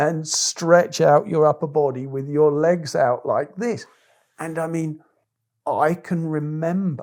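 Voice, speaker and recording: A man's fairly high voice at a very slow pace, fairly even in intonation, on a very clean recording with a silent background. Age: 60s. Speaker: tai chi and neigong teacher. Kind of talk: casual chat.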